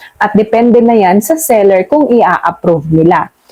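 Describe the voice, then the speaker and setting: A woman speaks at a medium pitch with lively intonation in a plain, everyday voice. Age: middle-aged. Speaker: YouTube vlogger. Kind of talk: casual chat. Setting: at home at night.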